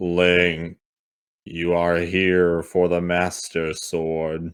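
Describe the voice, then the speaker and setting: A loud, booming, resonant put-on character voice from a man, very deep and low in pitch and very slow in pace. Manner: solemn, commanding.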